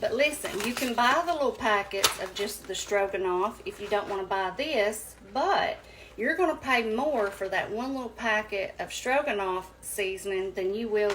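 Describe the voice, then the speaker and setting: There is noticeable background noise as a woman with a Southern US accent talks at a moderate pace in a fairly high voice. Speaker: home cooking youtuber. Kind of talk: cooking tutorial. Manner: casual, chatty with fillers.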